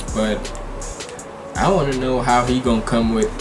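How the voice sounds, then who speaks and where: Clear music is audible in the background. Over it, a man talks at a fairly slow pace. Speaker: reaction video creator. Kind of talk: casual vlog chat. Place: home room. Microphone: webcam.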